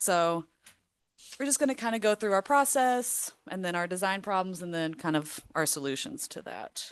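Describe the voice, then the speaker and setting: Loud speech from a woman at medium pitch, very wide pitch swings, a moderate pace and a quiet background. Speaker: student presenter. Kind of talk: class project presentation. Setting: city council meeting.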